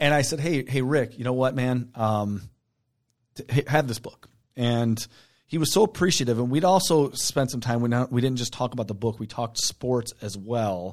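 A man with a normal speaking voice, medium in pitch, at a moderate pace, in a very clean recording with a silent background. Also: ordinary pitch variation. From Michigan, Detroit downriver area. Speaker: podcast co-host. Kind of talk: casual chat.

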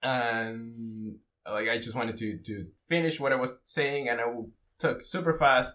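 With a Spanish accent, a man reads at a fairly slow pace in a bright, sharp tone, his medium pitch showing ordinary variation. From Mexico. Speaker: Brazilian jiu-jitsu blue belt. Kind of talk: casual chat.

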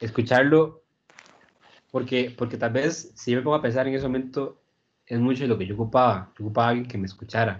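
A man's plain, everyday voice at medium pitch, fairly quick pace and fairly even intonation. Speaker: neuro-linguistic programming practitioner. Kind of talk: casual interview chat.

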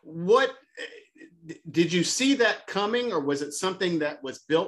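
A man speaks in an ordinary speaking voice at a fairly slow pace, with lively intonation. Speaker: podcast host. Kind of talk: interview. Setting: video call.

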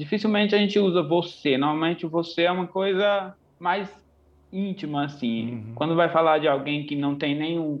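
Speaking at a moderate pace, a man is heard here. His pitch varies in an ordinary way. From Bahia, Brazil. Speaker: hairdresser and makeup artist. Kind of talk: casual chat.

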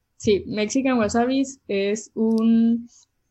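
A fairly high-pitched woman's voice with a dark, mellow tone and ordinary pitch variation. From Mexicali, Baja California, Mexico. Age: 20s. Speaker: cook and food social media creator. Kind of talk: casual interview chat.

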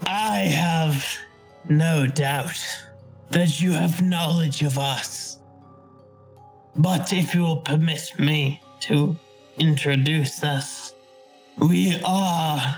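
Over faint music in the background, a man puts on a character voice with a fairly high pitch and speaks at a very slow pace. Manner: formal, obsequious, grandiloquent.

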